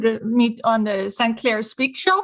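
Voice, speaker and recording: With a Swedish accent, a woman speaks in a high-pitched voice. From Sweden. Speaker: business consultant. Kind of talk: podcast interview.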